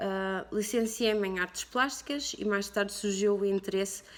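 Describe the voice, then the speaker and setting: Her pitch is medium and varies in an ordinary way as the woman talks. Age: 30s. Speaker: tattoo artist. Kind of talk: personal interview testimony. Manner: halting, many fillers.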